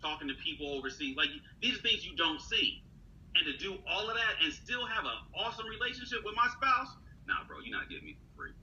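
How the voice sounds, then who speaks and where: There is noticeable background noise as a man speaks at a fairly quick pace. His loudness swings widely. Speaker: leadership speaker and executive coach. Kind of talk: casual chat. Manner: animated.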